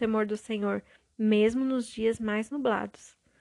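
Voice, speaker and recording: A woman with a plain, everyday voice speaks at a moderate pace, with fairly high pitch and fairly even intonation. The sound is dry and close with no echo, and the background is quiet. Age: 30s. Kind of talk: devotional monologue. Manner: warm, intimate.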